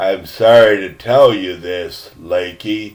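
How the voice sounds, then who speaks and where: A man puts on a character voice, pitched very deep and low. He speaks at a fairly slow pace with fairly even intonation. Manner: grim, somber.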